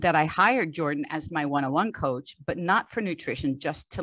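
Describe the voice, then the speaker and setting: A woman speaks in an American accent at a moderate pace. Her pitch is very deep and low. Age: 60s. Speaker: strength coach. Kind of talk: podcast interview.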